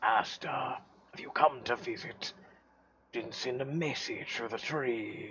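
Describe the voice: Putting on a creaky character voice, a man talks at a fairly slow pace and a medium pitch, with fairly even intonation and big swings in loudness.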